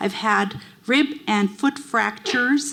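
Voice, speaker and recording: The speech comes at a fairly slow pace with noticeable background noise. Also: woman. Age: 70s. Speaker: audience member, retired dentist. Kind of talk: audience question. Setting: library event hall with audience.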